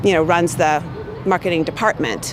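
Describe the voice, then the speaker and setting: With music in the background, a woman speaks with an American accent at a fairly low pitch. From USA. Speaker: corporate marketing manager. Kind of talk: interview answers.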